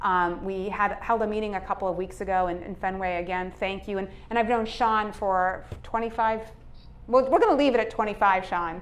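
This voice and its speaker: Fairly quick and fairly even in intonation, a woman speaks at a medium pitch in a Boston accent. Room echo can be heard. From Cambridge, Massachusetts. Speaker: state legislator. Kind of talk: public speech.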